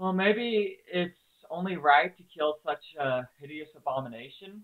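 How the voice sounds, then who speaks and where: Quiet mumbling at a fairly slow pace. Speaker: game developer streamer. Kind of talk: live stream tutorial. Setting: live stream at computer.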